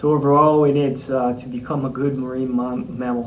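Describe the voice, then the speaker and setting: A man talks at a medium pitch in a flat monotone. Noticeable background noise and audible room echo surround him. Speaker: marine mammal scientist, professor. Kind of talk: interview answers. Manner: hesitant, many fillers and repetitions.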